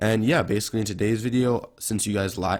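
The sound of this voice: A raspy man's voice with a slightly mellow tone at a fairly quick pace.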